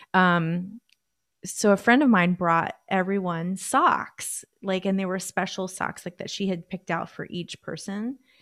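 A woman at medium pitch uses ordinary pitch variation in a normal speaking voice. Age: 40s. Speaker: life coach and flutist. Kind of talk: casual chat. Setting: video call.

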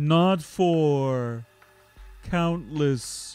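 A put-on character voice at a middle pitch comes through with faint music in the background. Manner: formal.

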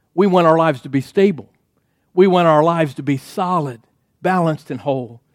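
A man speaks at a fairly quick pace, his pitch fairly high with ordinary variation. He has an unremarkable speaking voice. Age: 60s. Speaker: pastor. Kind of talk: sermon.

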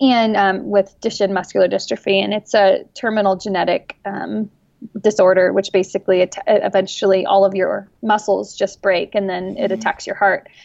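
A woman with a normal speaking voice talks at a moderate pace and medium pitch, her intonation fairly even. The sound is dry and close, without echo. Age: 20s. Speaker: adoptive mother of a child with muscular dystrophy. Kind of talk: casual chat. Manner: casual with frequent fillers.

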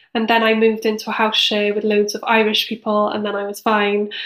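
A woman with a Cardiff accent speaks at a moderate pace and a fairly high pitch. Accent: Welsh (Cardiff). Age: 30s. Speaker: charity director and co-founder. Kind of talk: casual interview.

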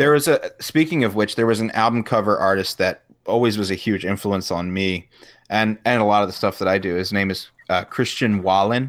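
Recorded very cleanly against a silent background, a man with an ordinary speaking voice talks fairly quickly in a fairly low pitch with ordinary pitch variation. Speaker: podcast host. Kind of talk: casual chat. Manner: joking.

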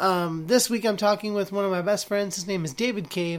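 A man's high-pitched voice at a fairly quick pace, with ordinary pitch variation

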